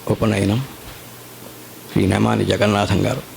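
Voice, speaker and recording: Someone with an Indian accent speaks with fairly even intonation over noticeable background noise. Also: man. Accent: Indian English, Telugu. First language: Telugu. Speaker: spiritual teacher. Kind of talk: religious discourse. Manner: reverent, formal.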